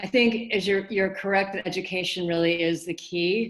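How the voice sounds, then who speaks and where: A woman with an American accent speaks at a moderate pace and medium pitch. Her pitch variation is ordinary, and she has an unremarkable speaking voice. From United States. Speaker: audience member. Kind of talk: audience question.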